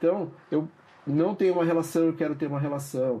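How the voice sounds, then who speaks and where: A man speaks with a Brazilian accent. His pace is fairly quick. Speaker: psychoanalyst. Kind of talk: interview. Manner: hesitant, repeats words.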